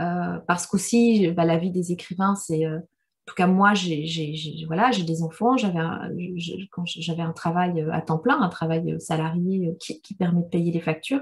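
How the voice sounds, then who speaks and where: This woman's voice sits fairly low in pitch. She talks at a moderate pace. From Rwanda. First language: Kinyarwanda (speaking French). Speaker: novelist. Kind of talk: literary discussion Q&A. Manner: halting, many repetitions.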